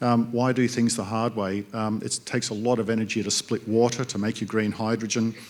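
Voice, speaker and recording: A man with an Australian accent speaks at medium pitch, fairly quick with hardly any pauses. His intonation is monotone and flat, in a very clean recording with a silent background. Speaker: industry panelist. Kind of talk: panel discussion.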